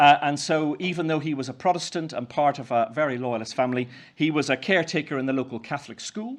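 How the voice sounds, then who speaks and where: Very fast speech from a man with a Northern Irish accent, fairly high pitch and ordinary pitch variation, over a quiet background. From Northern Ireland, County Down. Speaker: Methodist minister. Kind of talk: keynote speech. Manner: halting, many fillers.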